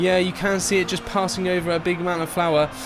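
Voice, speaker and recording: With music playing behind him, a man with an English accent talks at a moderate pace in a high pitch. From England. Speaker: tech reviewer. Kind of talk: product review narration. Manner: animated.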